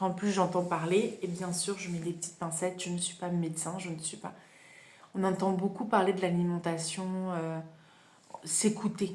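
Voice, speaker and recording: A woman at a medium pitch and moderate pace, flat and monotone in intonation, with long, frequent pauses. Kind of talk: casual self-help podcast talk. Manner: hesitant, conversational.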